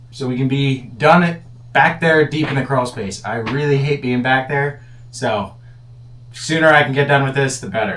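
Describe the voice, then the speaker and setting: A man at medium pitch, with ordinary pitch variation and a moderate pace. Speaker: home renovation vlogger. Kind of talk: DIY vlog narration. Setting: crawl space under house. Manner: whispering.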